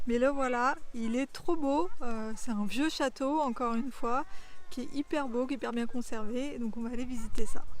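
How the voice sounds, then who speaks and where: Her voice is high, her pace moderate, and her pitch varies in an ordinary way. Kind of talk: travel vlog narration. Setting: outdoors and touring a château. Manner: hesitant, many fillers.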